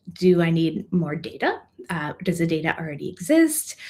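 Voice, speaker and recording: Somewhat breathy and medium in pitch, a woman is talking. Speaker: consultant. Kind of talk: presentation. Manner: fast.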